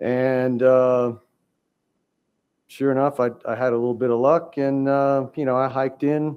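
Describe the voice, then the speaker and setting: A man speaks fairly slowly in a flat, monotone way. He leaves long, frequent pauses. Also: medium pitch for a man. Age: 60s. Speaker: hunter appealing to a wildlife commission. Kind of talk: testimony at a public hearing. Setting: public hearing room. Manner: halting, many fillers.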